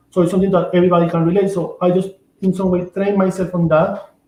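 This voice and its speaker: Speaking fairly quickly with a Venezuelan accent, a man uses a high pitch and monotone, flat intonation. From Venezuela (Amazon region). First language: Spanish. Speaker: shaman and author. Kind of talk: interview. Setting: livestream. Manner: halting, with repetitions.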